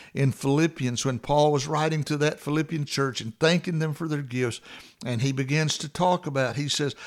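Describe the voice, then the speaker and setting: Recorded very cleanly against a silent background, a man with a plain, everyday voice speaks at a moderate pace with fairly high pitch and fairly even intonation. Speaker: devotional radio host and preacher. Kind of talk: fervent prayer. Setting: studio. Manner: earnest, heartfelt, pleading; warm, sincere.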